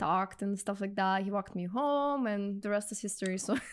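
On a very clean recording with a silent background, a woman talks at a fairly quick pace with a medium pitch. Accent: Russian. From Russia. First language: Russian. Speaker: real estate investor. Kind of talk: podcast interview.

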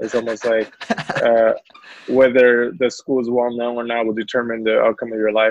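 A man talks at a moderate pace in a medium-pitched voice. His intonation is flat and monotone. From China, Guangzhou; moved to Houston at 13. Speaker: entrepreneur and business owner. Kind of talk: casual interview chat.

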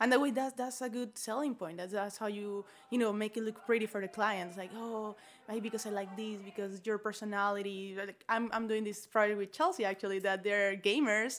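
The speaker has a Spanish accent and talks at a fairly quick pace. The intonation is fairly even. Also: woman, fairly high pitch for a woman. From Venezuela. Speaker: architect. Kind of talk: interview.

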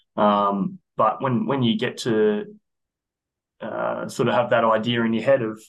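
A man speaks with an Australian accent at a medium pitch. His pace is fairly slow. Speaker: athletic performance coach. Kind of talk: casual interview.

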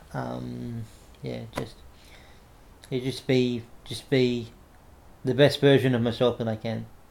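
With an Australian accent, a man talks at a fairly slow pace. He leaves long, frequent pauses. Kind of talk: interview. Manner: halting, frequent repetitions.

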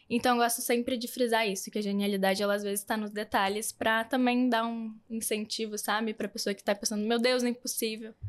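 The speaker has a southern Brazilian accent and a flat monotone at a fairly quick pace. The recording is very clean, with a silent background. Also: woman. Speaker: influencer and fashion brand founder. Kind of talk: podcast interview.

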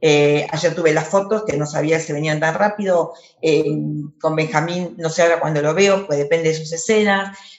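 A woman with a fairly low pitch and fairly even intonation is heard in a room with audible echo and noticeable background noise. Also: moderate pace. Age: 50s. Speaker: actress. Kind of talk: interview. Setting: video call. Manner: halting, many repetitions.

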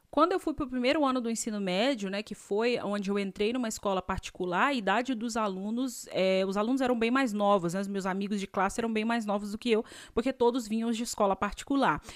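A woman with a fairly high pitch and an animated tone, at a fairly quick pace with hardly any pauses and ordinary pitch variation. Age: 30s. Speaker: podcast host and dentist. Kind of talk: casual storytelling monologue.

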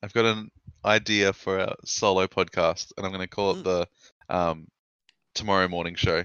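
In an Australian accent, a man speaks at a very deep, low pitch with monotone, flat intonation. Long, frequent pauses break up his speech. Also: moderate pace. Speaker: podcast host. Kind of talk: casual chat.

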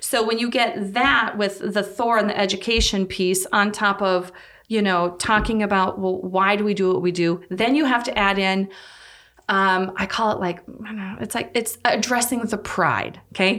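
In an Upper Midwest accent, a woman with a bright, sharp tone speaks at a medium pitch and moderate pace with fairly even intonation. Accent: Upper Midwest American. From North Dakota. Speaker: physical therapist. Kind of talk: casual interview.

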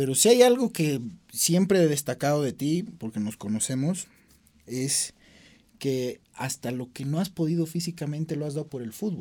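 A man's dark, mellow voice, fairly high in pitch, with lively intonation, big swings in loudness and a moderate pace. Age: young. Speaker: sports show host. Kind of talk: interview.

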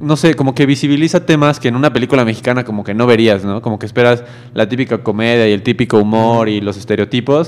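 Medium pitch and ordinary pitch variation from a man with an ordinary speaking voice. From Mexico. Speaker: student radio co-host. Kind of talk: casual chat.

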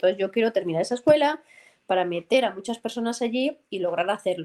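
A woman with an ordinary speaking voice, fairly high in pitch, at a fairly quick pace with ordinary pitch variation. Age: 40s. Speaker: football commentator and former military pilot. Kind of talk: interview.

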